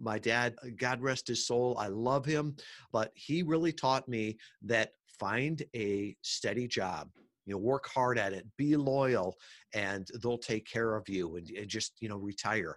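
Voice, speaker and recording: A man at a fairly slow pace, medium in pitch, an ordinary speaking voice, on a very clean recording with a silent background. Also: ordinary pitch variation. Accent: American. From US Midwest, Chicago suburbs. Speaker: podcast marketing entrepreneur. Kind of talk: interview.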